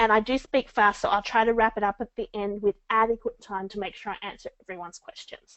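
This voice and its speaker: A woman's fairly high pitch. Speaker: book marketing coach. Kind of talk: webinar presentation. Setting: online webinar. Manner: fast.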